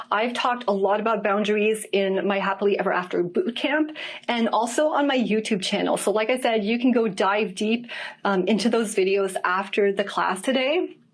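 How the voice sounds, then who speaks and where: Noticeable background noise under a woman's fairly high voice with very even loudness. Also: ordinary pitch variation, moderate pace. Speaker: dating and relationship coach. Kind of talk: online class on dating.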